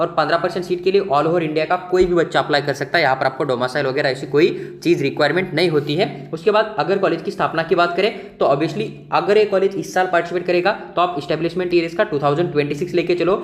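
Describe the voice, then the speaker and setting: A man speaks in a high pitch with ordinary pitch variation and hardly any pauses. Noticeable background noise runs behind him. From Maharashtra, India. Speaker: medical admissions counselor. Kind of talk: informational video explainer.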